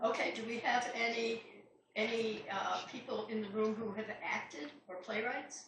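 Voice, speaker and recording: In a room with audible echo, a woman with an American accent speaks at a fairly high pitch with ordinary pitch variation. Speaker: playwright. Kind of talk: talk to a club audience. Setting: club meeting with live audience and microphone. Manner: projecting stage voice.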